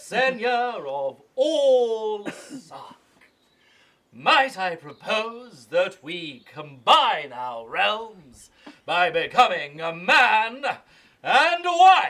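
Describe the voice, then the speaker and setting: A man puts on a character voice pitched high, speaking at a very slow pace. His pitch swings very widely and his loudness shifts in big swings. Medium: stage play. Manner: pompous.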